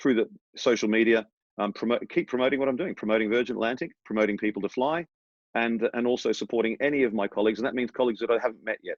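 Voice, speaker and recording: With an Australian accent, a man talks at a very fast pace in a medium pitch with fairly even intonation. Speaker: airline training captain. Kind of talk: interview.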